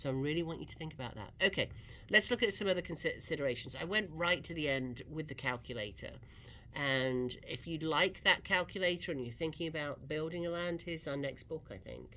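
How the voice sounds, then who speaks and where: With an English accent and a bright, sharp tone, a woman with a very deep, low pitch speaks at a fairly quick pace, using lively intonation and big swings in loudness. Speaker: real estate radio host. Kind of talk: radio talk show advice. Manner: conversational.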